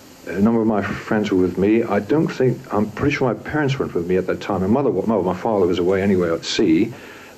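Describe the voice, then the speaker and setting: Over noticeable background noise, a man talks very fast with hardly any pauses, his fairly low voice carrying lively intonation. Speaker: war witness. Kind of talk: interview answer.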